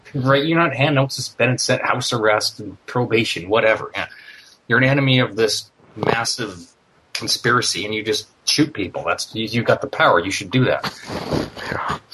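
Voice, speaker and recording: At a moderate pace, a man talks in an ordinary speaking voice, medium in pitch with ordinary pitch variation. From Canada. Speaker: former neo-Nazi, podcast listener. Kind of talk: casual interview.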